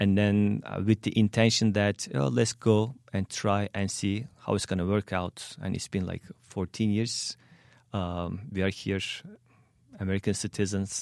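Speaking with a Turkish accent, a man talks at a fairly slow pace and a fairly low pitch with ordinary pitch variation, the sound dry and close with no echo. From Turkey (Soma, Manisa). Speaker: immigrant, educator. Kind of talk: interview. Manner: halting, many fillers.

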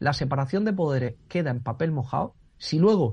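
Somewhat breathy and dark, mellow in tone, a man's voice comes over a quiet background. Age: 30s. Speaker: constitutional law professor. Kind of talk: radio discussion. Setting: phone call. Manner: halting.

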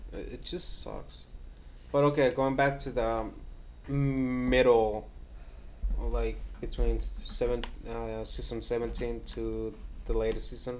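A man speaks at a very slow pace with long, frequent pauses, and the room echo is audible. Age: young. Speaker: podcast co-host. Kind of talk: casual chat.

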